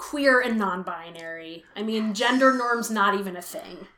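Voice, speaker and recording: A woman with an American accent speaks at a fairly slow pace. Her tone is bright and sharp, her intonation lively. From US West Coast (Richmond, California). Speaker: musician and performer. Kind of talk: casual interview chat.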